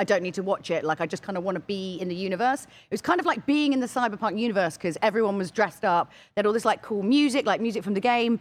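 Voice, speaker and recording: A woman with a British accent speaks at a very fast pace in a medium pitch, her intonation lively and hardly any pauses, in a very clean recording with a silent background. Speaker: special guest. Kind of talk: casual chat. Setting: studio.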